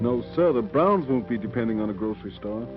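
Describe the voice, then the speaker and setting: A man at a fairly quick pace with very wide pitch swings, music in the background. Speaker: film narrator. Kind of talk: documentary narration.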